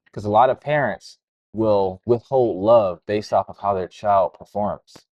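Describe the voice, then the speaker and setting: A man with a plain, everyday voice speaks at a moderate pace and fairly low pitch, his loudness swinging widely. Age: 30s. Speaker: entrepreneur and crypto educator. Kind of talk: interview conversation. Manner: casual, filler-heavy.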